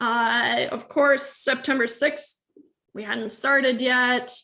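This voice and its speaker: A woman speaks at a very slow pace in a high, bright, sharp voice. Her intonation stays fairly even. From Sweden. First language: Swedish. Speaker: university lecturer. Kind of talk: lecture. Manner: casual, hesitant with fillers.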